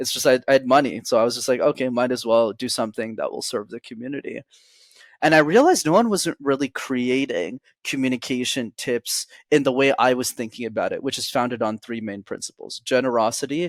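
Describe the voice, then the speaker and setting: A man at medium pitch with ordinary pitch variation and a fairly quick pace, on a very clean, dry, close recording with no echo and a silent background. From Montreal, Canada. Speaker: public speaking coach. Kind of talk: podcast interview.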